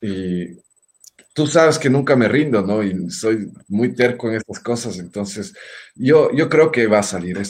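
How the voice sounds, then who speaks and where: Pitched in the medium range, a man speaks at a fairly slow pace with lively intonation. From Ecuador, Quito. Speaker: singer and guitarist. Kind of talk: casual interview.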